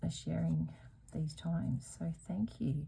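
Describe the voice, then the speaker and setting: Soft-spoken and with an Australian accent, a woman talks very slowly in a very deep, low, dark and mellow voice with vocal fry and very wide pitch swings. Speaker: embroidery youtuber. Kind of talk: casual craft tutorial chat. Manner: soft, goes quiet while working. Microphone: sound too quiet, edited in post.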